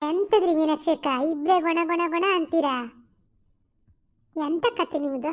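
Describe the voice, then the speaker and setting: A woman uses a cartoonish character voice at an extremely high pitch. She speaks very slowly with ordinary pitch variation. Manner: fast, gushing.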